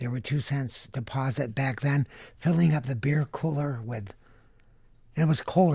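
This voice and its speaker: In an American accent, a man speaks with a dark, mellow, somewhat breathy tone and ordinary pitch variation on a very clean recording with a silent background. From Southern California (Van Nuys). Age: 70s. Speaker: candy inventor. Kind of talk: interview.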